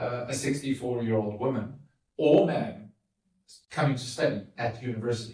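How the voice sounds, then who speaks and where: Speaking at a fairly quick pace, a man has a medium-pitched, dark, mellow, somewhat breathy voice. His intonation stays fairly even, broken by long, frequent pauses. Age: 50s. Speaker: podcast host. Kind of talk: interview with his mother.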